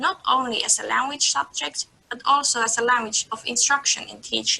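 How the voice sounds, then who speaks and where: A woman with a high voice talks at a moderate pace with lively intonation and big swings in loudness, while noticeable background noise runs underneath. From northern Finland, Oulu. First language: Sami. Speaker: student and Sami culture representative. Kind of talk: webinar presentation. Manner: formal.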